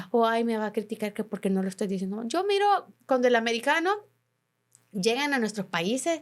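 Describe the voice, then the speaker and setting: Pausing long and often, a woman speaks at a fairly high pitch with lively intonation. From Honduras. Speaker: journalist. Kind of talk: interview. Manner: halting.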